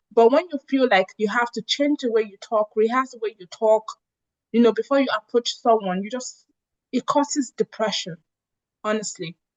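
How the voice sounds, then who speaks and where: Speaking with a Nigerian accent, a woman uses a fairly high pitch. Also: ordinary pitch variation, moderate pace, big swings in loudness. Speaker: revenue analyst and immigrant advocate. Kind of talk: interview.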